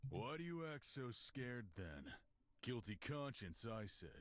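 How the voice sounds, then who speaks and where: Putting on a character voice, a man speaks at a moderate pace and medium pitch with very wide pitch swings. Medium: game stream. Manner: menacing, terse.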